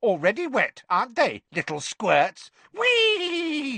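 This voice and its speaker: Cackling in a put-on character voice of extremely high pitch, a man speaks at a fairly slow pace. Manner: cackling, gleeful.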